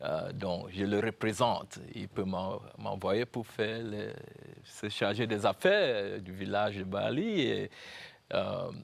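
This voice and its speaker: Speaking very slowly, a man talks with a Cameroonian accent. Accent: Cameroonian anglophone accent in French. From Cameroon, anglophone North-West (Momo, Bamenda). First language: English (speaking French). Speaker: university founder and professor. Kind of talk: TV interview. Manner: halting, many hesitations.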